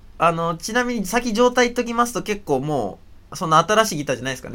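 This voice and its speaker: A man speaks very fast. His volume rises and drops sharply. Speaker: podcast host. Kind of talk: casual chat. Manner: talkative, rambling.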